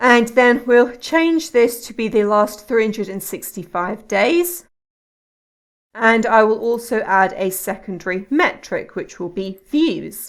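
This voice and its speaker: A woman with a British accent speaks at a fairly high pitch and a fairly slow pace, with lively intonation and big swings in loudness. The recording is very clean, with a silent background. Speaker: YouTube tutorial creator. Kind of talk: tutorial. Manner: calm, measured.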